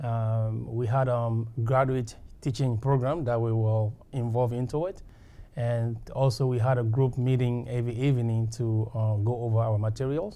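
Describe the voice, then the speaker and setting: The man's tone is dark and mellow. He talks at a moderate pace with fairly even intonation. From West Africa. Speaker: graduate student alumnus. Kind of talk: testimonial interview. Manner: halting, many fillers. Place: meeting room. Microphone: lapel.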